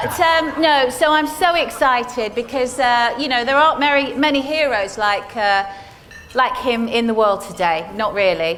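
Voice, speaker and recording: Over noticeable background noise, a woman speaks at a high pitch with lively intonation. Her pace is moderate. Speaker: radio and TV presenter. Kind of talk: event hosting.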